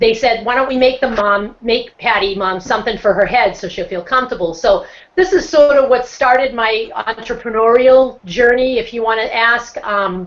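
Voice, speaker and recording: This woman speaks in a Boston accent at a fairly high pitch. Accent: Boston accent, non-rhotic. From Boston, US. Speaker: motivational speaker and social entrepreneur. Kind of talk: casual interview on a video hangout.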